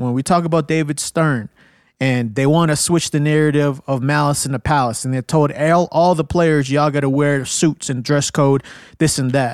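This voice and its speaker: With a very clean recording, a silent background and a dry, close sound with no echo, a man speaks in a normal speaking voice at a fairly high pitch, a moderate pace and fairly even intonation. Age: 30s. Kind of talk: casual chat.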